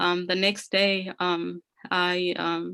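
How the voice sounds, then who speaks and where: A woman speaks in a fairly low pitch. Her intonation is flat and monotone. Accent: Ethiopian. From Ethiopia, rural north. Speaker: career speaker sharing immigrant story. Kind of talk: personal testimony. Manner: halting, many fillers (um, you know).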